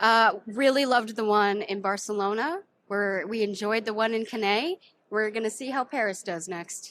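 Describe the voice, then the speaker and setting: In a normal speaking voice with an American accent, a woman talks at a moderate pace and fairly high pitch with ordinary pitch variation. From United States. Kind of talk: casual chat. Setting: train station.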